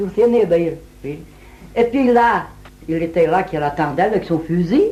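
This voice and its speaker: At a fairly slow pace, a woman with an ordinary speaking voice talks at a fairly low pitch with lively intonation. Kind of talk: folk tale telling.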